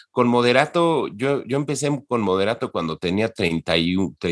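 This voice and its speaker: A man talks at a fairly slow pace with very wide pitch swings. The recording is very clean, with a silent background and a dry, close sound with no echo. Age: 50s. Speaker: entertainment industry professional. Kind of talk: interview. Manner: halting, many repetitions.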